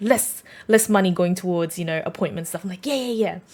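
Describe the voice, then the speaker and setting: Somewhat breathy, a woman speaks in an animated tone. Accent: Australian. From Australia. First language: Vietnamese. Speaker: podcast host. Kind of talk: personal storytelling. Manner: casual, many fillers.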